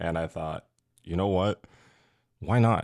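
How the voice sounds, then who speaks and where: On a very clean recording with a silent background, the speaker keeps a fairly even intonation. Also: man. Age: 20s. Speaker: podcast guest, cannabis industry worker. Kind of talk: casual podcast chat.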